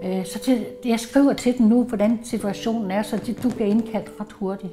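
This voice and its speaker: A woman's fairly high voice moves with fairly even intonation as noticeable background noise plays behind it. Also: fairly slow pace. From Jutland, Denmark. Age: 70s. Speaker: retired police employee, cancer patient. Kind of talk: personal testimony interview.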